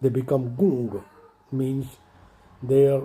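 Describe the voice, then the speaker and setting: A man's fairly high voice at a very slow pace. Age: 70s. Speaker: commentator, retired financial controller. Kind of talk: impassioned monologue. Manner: emotional, impassioned.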